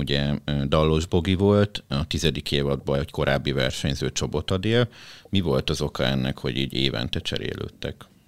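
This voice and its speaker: A man's very deep, low voice with vocal fry, at a moderate pace, in a dry, close sound with no echo. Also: ordinary pitch variation. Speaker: podcast host and editor-in-chief. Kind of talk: interview, host introducing.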